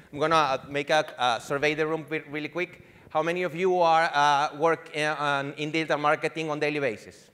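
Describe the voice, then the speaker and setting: Fairly high in pitch, a man talks at a fairly quick pace with a slight Venezuelan accent. His tone is bright and sharp, his intonation monotone and flat. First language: Spanish. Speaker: digital marketing executive. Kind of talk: conference presentation. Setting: conference stage with audience. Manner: halting, many fillers and restarts.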